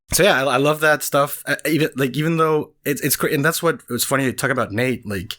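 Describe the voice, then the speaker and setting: This man has a bright, sharp tone. He speaks with a Spanish accent. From Venezuela. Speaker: cartoonist. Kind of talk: casual chat. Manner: halting.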